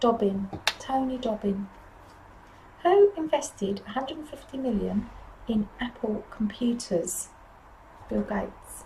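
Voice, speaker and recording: A woman with a fairly high pitch speaks at a fairly slow pace with lively intonation, big swings in loudness and long, frequent pauses, while noticeable noise sits in the background. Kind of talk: quiz questions read aloud for dog calming.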